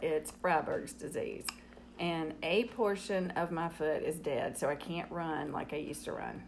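A woman with a Southern US accent speaks at a moderate pace with a fairly low pitch and ordinary pitch variation. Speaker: host's mother, guest. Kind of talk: casual chat.

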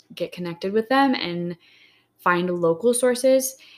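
On a very clean recording with a silent background, a woman with an unremarkable speaking voice talks at a fairly slow pace and medium pitch. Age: 30s. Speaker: wellness podcast co-host. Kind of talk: casual chat. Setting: cabin in the desert, recording in person.

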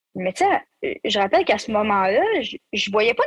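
Somewhat breathy and in a Quebec accent, the voice moves at a moderate pace, with a dry, close sound and no echo. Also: woman. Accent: Québécois French. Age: 20s. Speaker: youth worker and aerospace student. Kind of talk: personal testimony interview.

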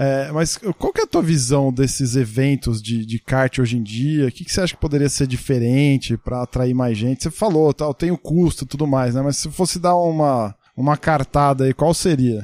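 A man's fairly high, dark, mellow voice with ordinary pitch variation and hardly any pauses, dry and close with no echo. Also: moderate pace. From Brazil, Santo André (ABC Paulista). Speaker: podcast host. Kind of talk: interview. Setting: video call.

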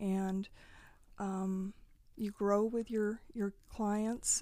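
In a very clean recording with a silent background, a woman speaks at medium pitch with a West Coast accent. Her tone is dark and mellow. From Eastern Oregon, US. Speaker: nonprofit executive director and lawyer. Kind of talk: interview.

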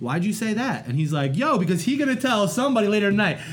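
Very fast speech with very wide pitch swings comes through noticeable background noise and audible room echo. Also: man. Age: 30s. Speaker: art teacher. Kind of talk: casual chat.

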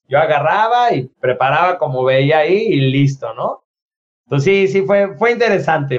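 A man with a Mexican accent, fairly high in pitch for a man, at a moderate pace. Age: 40s. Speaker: podcast co-host, instructor and author. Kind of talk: casual chat.

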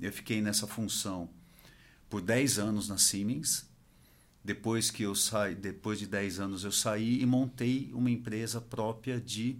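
An unremarkable speaking voice from a man at medium pitch, with ordinary pitch variation and a fairly slow pace. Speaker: industry association executive. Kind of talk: interview.

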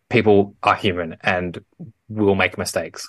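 A man with an Australian accent talks at a fairly low pitch. The sound is dry and close with no echo, over a quiet background. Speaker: podcast co-host. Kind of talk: casual chat.

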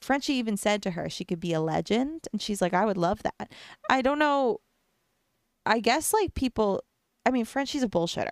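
In a dry, close sound with no echo, a woman with a fairly high pitch talks at a moderate pace in an animated tone, using lively intonation and long, frequent pauses. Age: 20s. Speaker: podcast host and Twitch streamer. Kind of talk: casual solo chat. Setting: home recording with video camera. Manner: animated, rambling with fillers.

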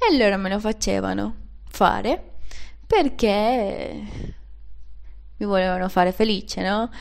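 A woman with a Venezuelan accent at a very slow pace, with long, frequent pauses and audible room echo. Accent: non-native Italian, Venezuelan Spanish. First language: Spanish (speaking Italian). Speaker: podcaster. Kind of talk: personal monologue. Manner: halting.

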